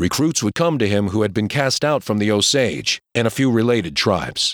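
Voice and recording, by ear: The pitch shifts in an ordinary way as someone reads aloud in a natural voice.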